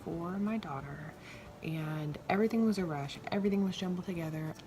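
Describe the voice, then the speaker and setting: Over noticeable background noise, a soft-spoken woman talks at a fairly quick pace in a medium pitch. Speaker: podcast host, mom. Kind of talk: casual monologue. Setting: home bedroom. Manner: quiet, soft-spoken; animated, chatty.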